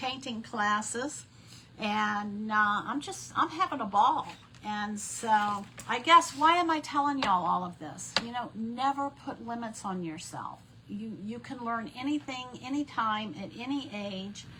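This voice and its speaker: Amid noticeable background noise, a woman speaks fairly slowly at a fairly high pitch, with lively intonation and big swings in loudness. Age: 60s. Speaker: crafting instructor, former math teacher. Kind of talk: live craft tutorial. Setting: live stream event. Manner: casual, chatty.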